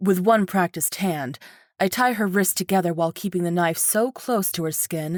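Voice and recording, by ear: The speaker is reading aloud in a natural voice, and the pitch varies in an ordinary way.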